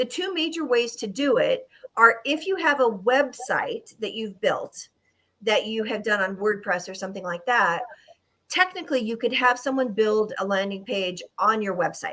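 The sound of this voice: A woman puts on a raspy character voice, fairly high in pitch, with lively intonation at a moderate pace.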